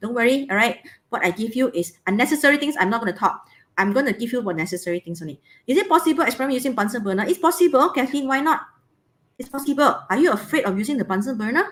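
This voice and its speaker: Speaking very fast, a woman with a high pitch swings very widely in pitch. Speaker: biology teacher. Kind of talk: online lesson.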